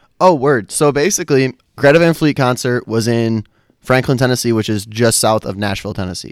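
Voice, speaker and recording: A man talks at medium pitch with ordinary pitch variation. The recording is very clean, with a silent background. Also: fairly quick pace. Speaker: podcast guest. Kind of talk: casual chat. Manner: animated.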